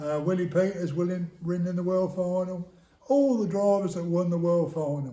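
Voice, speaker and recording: A man with an English accent, high-pitched, at a moderate pace. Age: 70s. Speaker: retired motorsport business founder. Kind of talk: interview.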